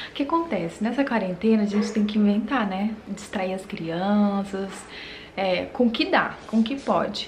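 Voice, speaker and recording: A woman at a moderate pace, ordinary pitch variation, light background noise behind her. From Brazil. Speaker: vlogger, mother of twins; vlogger. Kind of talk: casual home vlog. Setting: at home. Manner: animated. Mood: cheerful, relaxed. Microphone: phone near.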